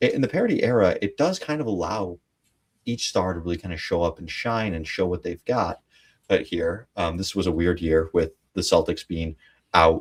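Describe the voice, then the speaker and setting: Captured in a very clean recording with a silent background, a man speaks in a very deep, low, somewhat breathy voice with ordinary pitch variation. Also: moderate pace. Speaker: sports podcast co-host. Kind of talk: casual chat.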